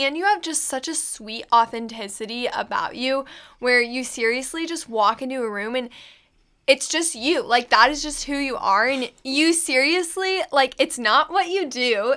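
A woman with an American accent projects a raised voice, bright and sharp in tone and high in pitch, with ordinary pitch variation at a moderate pace on a very clean recording with a silent background. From Kansas. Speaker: podcast co-host and college student. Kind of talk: casual chat.

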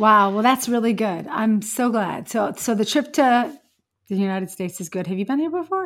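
Fairly high-pitched woman with an ordinary speaking voice, lively intonation and a moderate pace. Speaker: YouTube host and coach. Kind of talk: casual interview chat.

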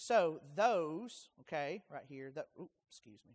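This is a plain, everyday voice with ordinary pitch variation. The sound is dry and close, with no echo. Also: man. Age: 40s. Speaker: pastor. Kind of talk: Bible study teaching.

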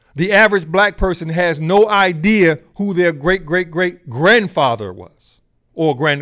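A bright, sharp voice in an American accent, fairly slow, with ordinary pitch variation and big swings in loudness. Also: man, hardly any pauses. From United States. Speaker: podcast host. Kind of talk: solo commentary. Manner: halting.

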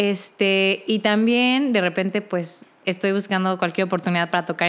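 The recording is very clean, with a silent background. A woman speaks at a fairly slow pace in a medium pitch with ordinary pitch variation. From Mexico, Querétaro. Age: 20s. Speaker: singer and music student. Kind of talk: casual interview.

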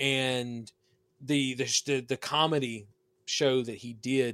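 The speech moves at a fairly slow pace. Its sound is dry and close, with no echo. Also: man, very clean recording, silent background. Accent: Southern US. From US South. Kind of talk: casual banter. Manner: joking, animated.

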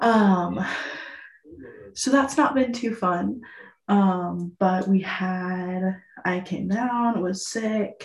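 A woman's somewhat breathy, medium-pitched voice at a very slow pace, with long, frequent pauses, ordinary pitch variation and audible room echo. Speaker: podcast co-host. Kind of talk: casual chat. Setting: bathroom at boyfriend's house. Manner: hushed; halting, many fillers.

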